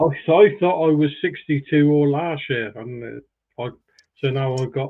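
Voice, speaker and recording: A man talks at a moderate pace in a plain, everyday voice, pitched fairly high. His pitch varies in an ordinary way while his loudness swings widely. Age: 60s. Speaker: live stream panelist. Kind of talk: casual chat.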